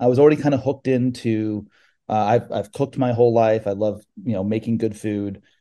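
The tone is dark and mellow, with an American accent. The pace is very fast. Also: man, quiet background. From California. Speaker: aquaponic farmer. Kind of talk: interview. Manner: halting.

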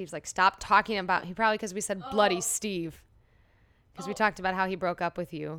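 With a Midwestern American accent, a woman talks very fast in a bright, sharp tone, her intonation fairly even and her loudness swinging widely, on a very clean, dry, close recording with a silent background and no echo. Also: medium pitch for a woman. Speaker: podcast co-host.

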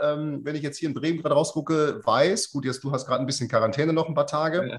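Here is a man speaking. His pitch is fairly high. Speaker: golf coach and podcast host. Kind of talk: casual interview. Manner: hesitant, many fillers.

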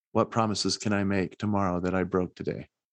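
Here a man speaks with an American accent. His pitch is fairly low. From Utah, US. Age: young. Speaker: motivational speaker. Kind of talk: podcast interview. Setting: remote call.

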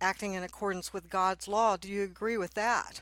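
A woman with a Texan accent, fairly high-pitched, bright and sharp in tone, on a very clean recording with a silent background. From Texas. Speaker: podcast host and attorney. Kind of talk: interview conversation.

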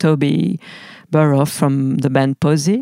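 A woman with a French accent speaks at a very deep, low pitch in a dark, mellow tone, and her pitch varies in an ordinary way. The sound is dry and close, with no echo. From France. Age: 40s. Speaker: musician. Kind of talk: interview monologue. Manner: halting.

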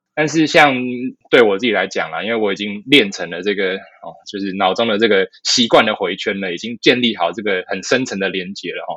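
This man has an unremarkable speaking voice, fairly low in pitch with ordinary pitch variation. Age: 30s. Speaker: physician and fitness educator. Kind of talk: casual interview.

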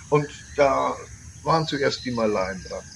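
At a fairly slow pace, a man speaks against noticeable background noise. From Bavaria, Germany (Landsberg am Lech). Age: 60s. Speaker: tour operator. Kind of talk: interview.

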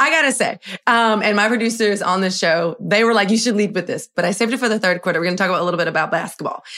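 A woman with an American accent at a medium pitch, bright and sharp in tone, animated, very fast, with ordinary pitch variation, on a very clean recording with a silent background. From US, Miami. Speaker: podcast host, in-arena sports host. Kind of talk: casual interview chat.

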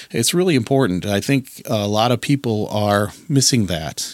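Medium pitch from a man in a normal speaking voice, with ordinary pitch variation. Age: 40s. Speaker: podcast host. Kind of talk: solo podcast monologue. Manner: casual, with frequent fillers and repetitions.

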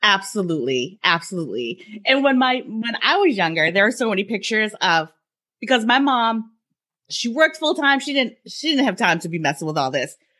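A woman's bright, sharp tone at a fairly high pitch shows vocal fry and very wide pitch swings as she talks at a fairly quick pace. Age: 40s. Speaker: podcast host. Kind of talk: interview.

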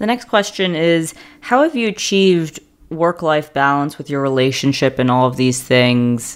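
A woman speaks with an American accent in a very deep, low voice. Her intonation is lively. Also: moderate pace. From New York. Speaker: podcast host and racecar driver. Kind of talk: casual monologue answering listener questions.

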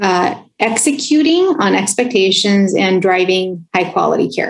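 This woman's voice sits at a medium pitch with ordinary variation. She speaks at a fairly slow pace. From California, US. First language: Spanish. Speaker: health plan executive. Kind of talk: interview. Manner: frequent fillers.

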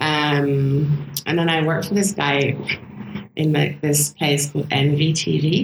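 Noticeable background noise sits behind a woman whose very deep, low pitch and fairly even intonation hold at a very slow pace with very even loudness. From south of France (raised there by British parents). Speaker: photographer and filmmaker. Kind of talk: casual interview chat.

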